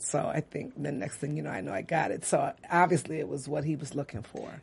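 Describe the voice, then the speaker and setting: A woman speaks with an American accent at a very fast pace. Her pitch is very deep and low, with vocal fry. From US Midwest, Detroit. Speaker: actress. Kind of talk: casual interview. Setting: studio.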